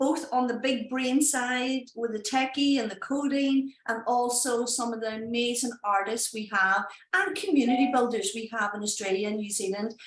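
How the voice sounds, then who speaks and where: Speaking at a moderate pace with ordinary pitch variation, a woman with a Northern Irish accent is heard over noticeable background noise. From Northern Ireland, Derry. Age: 30s. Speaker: NFT project founder. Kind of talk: live stream presentation. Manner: animated.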